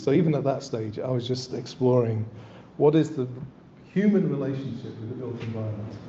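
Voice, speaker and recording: Audible room echo surrounds a man speaking at a fairly quick pace, medium in pitch with ordinary pitch variation. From northern England, East Yorkshire. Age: 60s. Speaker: landscape architect. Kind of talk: lecture. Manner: halting, with frequent repetitions and fillers.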